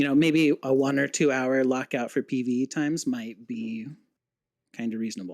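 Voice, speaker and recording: A quiet man at a medium pitch, moderate pace and ordinary pitch variation. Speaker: game developer. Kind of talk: casual interview. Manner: quiet talker.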